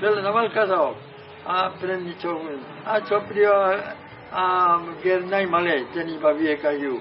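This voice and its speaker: Noticeable background noise runs under this recording. A man speaks at a high pitch with fairly even intonation. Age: 80s+. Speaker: Jesuit priest. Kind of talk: sermon.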